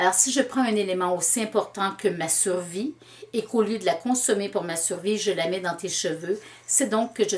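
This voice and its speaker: Noticeable background noise sits under a woman speaking with ordinary pitch variation. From Quebec, Canada. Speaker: storyteller. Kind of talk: interview answer.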